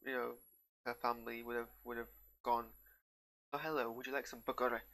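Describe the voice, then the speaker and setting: A man talks with a northern English accent. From northern England. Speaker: TV reviewer. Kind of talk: casual reaction commentary. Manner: halting.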